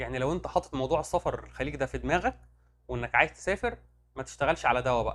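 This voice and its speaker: Loud and animated, a man with an Egyptian accent talks at a fairly quick pace. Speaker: medical rep career advisor, YouTuber. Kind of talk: casual Q&A monologue.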